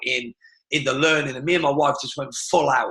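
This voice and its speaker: A man with a British accent speaks at a fairly high pitch in a bright, sharp tone. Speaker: martial arts business coach. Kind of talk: webinar presentation. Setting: live webinar. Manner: fast; animated.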